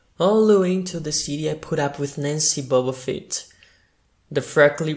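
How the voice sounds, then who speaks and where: A man with a Brazilian accent speaks at a moderate pace, his fairly high pitch showing ordinary pitch variation. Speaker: actor. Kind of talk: audiobook reading.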